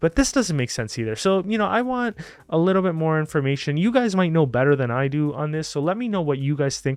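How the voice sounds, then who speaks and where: A man's fairly high voice at a very fast pace, with very wide pitch swings over music in the background. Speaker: finance YouTuber, investment analyst. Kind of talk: casual stock analysis commentary. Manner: hesitant, many fillers.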